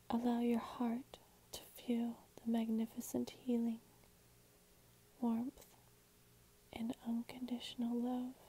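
Soft-spoken and high-pitched, a woman talks in a dark, mellow tone with monotone, flat intonation. Her pace is very slow, with long, frequent pauses. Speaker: ASMR and guided meditation creator. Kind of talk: guided meditation reading. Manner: soft-spoken, slow, calming.

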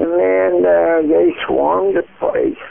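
A man is speaking. His pace is very slow. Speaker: caller. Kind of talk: phone call to dispatcher. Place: home room. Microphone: phone line.

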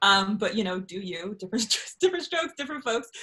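The setting is quiet. A woman's voice is heard. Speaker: guest. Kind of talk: interview answer. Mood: animated and joking. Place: home room. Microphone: video call.

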